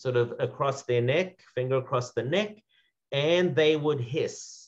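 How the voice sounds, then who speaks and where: A somewhat breathy man with a South African accent at a fairly slow pace. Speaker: second-generation Holocaust survivor speaker. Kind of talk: panel remarks at commemoration event. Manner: halting, many fillers.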